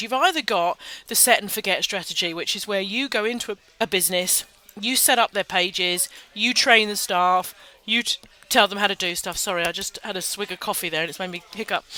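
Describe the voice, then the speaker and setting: At a fairly quick pace, a woman talks with a British accent in a medium pitch. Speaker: social media marketing webinar host. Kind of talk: casual webinar talk. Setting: webinar in a busy public venue. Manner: quiet; informal, off the cuff.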